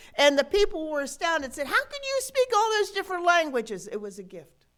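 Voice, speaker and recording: A woman with an Appalachian accent talks at an extremely high pitch, her voice making very wide pitch swings. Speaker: pastor. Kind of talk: sermon. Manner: conversational, folksy.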